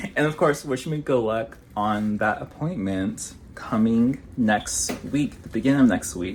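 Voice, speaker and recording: A man with a plain, everyday voice, medium in pitch, at a fairly slow pace. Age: 30s. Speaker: vlogger. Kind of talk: casual vlog talk. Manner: casual, filler-heavy.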